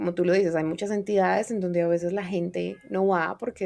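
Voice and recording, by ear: A woman's fairly low-pitched voice with vocal fry, at a moderate pace.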